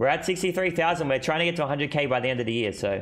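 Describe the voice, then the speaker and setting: Faint music plays behind a man with an Australian accent, whose fairly high pitch carries lively intonation. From Australia, Sydney. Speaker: gaming streamer. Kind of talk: live stream commentary. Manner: casual, fast. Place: home room. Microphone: headset.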